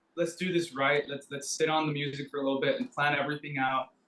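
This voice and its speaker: Speaking at a fairly quick pace, a man with an American accent has an ordinary speaking voice and a fairly high pitch. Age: 30s. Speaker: rock band member. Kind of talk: casual interview.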